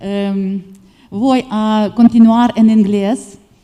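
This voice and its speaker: A woman's fairly high, dark and mellow voice in a Ukrainian accent, monotone and flat in intonation. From Ukraine. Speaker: physician. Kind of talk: audience comment. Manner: halting.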